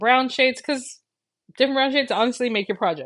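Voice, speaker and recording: A woman rushes along at a very fast pace while the background stays quiet. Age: 40s. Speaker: crafting YouTuber. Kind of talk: live stream chat.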